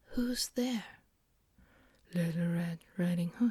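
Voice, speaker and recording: This soft-spoken voice moves at a very slow pace. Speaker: ASMR creator. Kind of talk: ASMR bedtime story reading.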